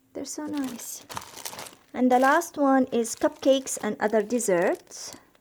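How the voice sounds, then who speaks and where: Speaking at a fairly slow pace, a woman with a high pitch shows big swings in loudness and ordinary pitch variation. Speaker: cross-stitch vlogger. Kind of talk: casual video update. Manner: hesitant, many fillers.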